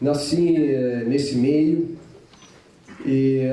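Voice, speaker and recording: A man with an Italian accent speaks at a medium pitch, using ordinary pitch variation. Room echo is audible, and there is noticeable background noise. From Italy, Parma. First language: Italian (speaking Portuguese). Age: 60s. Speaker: mayoral candidate. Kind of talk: campaign speech at public debate. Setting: auditorium with audience.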